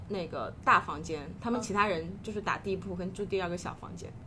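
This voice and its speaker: Audible room echo surrounds the recording. A woman speaks at a fairly quick pace in a medium pitch. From China, Hunan (Xiangtan). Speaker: life coach. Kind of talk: casual interview chat.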